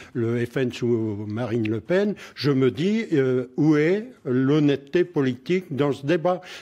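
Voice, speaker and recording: A man's fairly high-pitched voice with a dark, mellow tone and ordinary pitch variation, over a quiet background. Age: 70s. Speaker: member of parliament. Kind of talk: political debate. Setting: radio studio.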